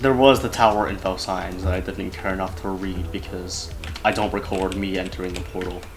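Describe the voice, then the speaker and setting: A man speaks in a very deep, low pitch with ordinary pitch variation. Audible room echo and noticeable background noise surround him. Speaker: gaming video creator. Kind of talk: casual gameplay commentary. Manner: halting, stumbling over words.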